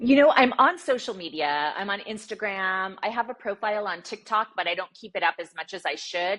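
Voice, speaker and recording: Over a quiet background, a woman talks at a fairly quick pace with hardly any pauses, her medium-pitched voice bright and sharp and her intonation lively. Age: 60s. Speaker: sports journalist and TV broadcaster. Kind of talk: interview.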